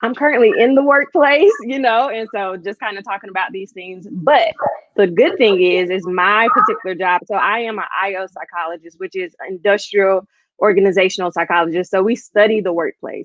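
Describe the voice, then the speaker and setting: Here is an ordinary speaking voice, a woman's at a medium pitch with an American accent. Her pitch varies in an ordinary way while her loudness swings widely. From US South, Georgia (Thomasville). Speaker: industrial-organizational psychologist. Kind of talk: podcast interview.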